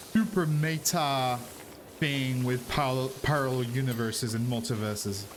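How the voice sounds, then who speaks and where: With music in the background and audible room echo, a man speaks at a moderate pace in a medium pitch with ordinary pitch variation. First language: not English. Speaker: streamer. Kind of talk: casual chat. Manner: animated.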